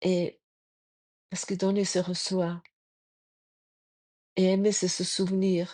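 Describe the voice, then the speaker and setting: In a German accent, a woman speaks at a very slow pace in a medium pitch with a dark, mellow tone, the sound dry and close with no echo against a quiet background. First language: German (speaking French). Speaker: spiritual podcaster. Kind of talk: spiritual reflection talk. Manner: halting.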